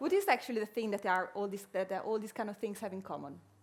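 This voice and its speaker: This woman's voice is fairly high in pitch. She keeps a moderate pace. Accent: Italian. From Italy. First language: Italian. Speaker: innovation strategist, workshop speaker. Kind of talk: conference workshop talk. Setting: stage with audience. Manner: halting, many fillers.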